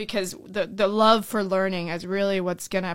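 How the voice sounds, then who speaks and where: With an American accent, a woman speaks in a plain, everyday voice at medium pitch and with fairly even intonation. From Orlando, Florida (born in Colombia). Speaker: school board candidate. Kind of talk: interview.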